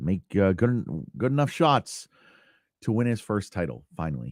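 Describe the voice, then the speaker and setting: In a very clean recording with a silent background, a man speaks at a fairly slow pace with very wide pitch swings. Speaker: podcast host. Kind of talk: casual monologue. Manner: lackadaisical, low energy; halting, repetitive.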